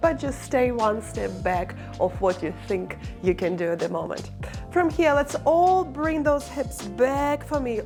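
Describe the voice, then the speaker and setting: A woman's calm voice at a fairly slow pace, with music in the background. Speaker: barre and stretch instructor. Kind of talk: follow-along exercise class instruction. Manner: encouraging, calm.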